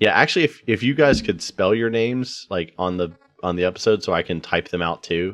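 Against a quiet background, a man with an ordinary speaking voice talks at a medium pitch with lively intonation. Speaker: player and podcast co-host. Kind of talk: casual chat, tabletop roleplaying game.

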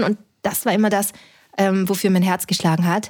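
A woman at medium pitch and moderate pace, a normal speaking voice with fairly even intonation, on a very clean recording with a silent background. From Austria (Linz). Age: 30s. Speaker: startup founder and physician. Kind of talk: interview conversation.

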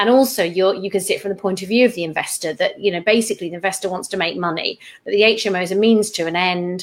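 A woman with a British accent at a medium pitch, talking at a very fast pace with hardly any pauses and fairly even intonation, over noticeable background noise. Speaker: property investment podcast host and mentor. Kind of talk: interview on a call. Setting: call.

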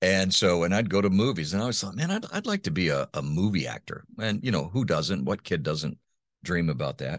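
A man's very deep, low voice with vocal fry and lively intonation at a fairly quick pace, in a very clean recording with a silent background. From Honduras (raised by missionary parents). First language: Spanish (bilingual). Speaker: voice-over artist and former radio host. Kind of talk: interview conversation. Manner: halting, many repetitions.

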